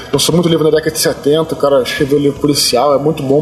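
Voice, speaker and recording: Flat, monotone delivery with noticeable background noise behind it. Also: man. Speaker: novelist. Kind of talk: public Q&A talk. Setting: bookstore event with audience. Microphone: poor audio quality.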